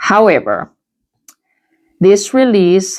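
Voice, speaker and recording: Lively intonation comes through in this voice with a non-native accent. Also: woman. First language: not English. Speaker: tarot reader. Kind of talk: tarot reading.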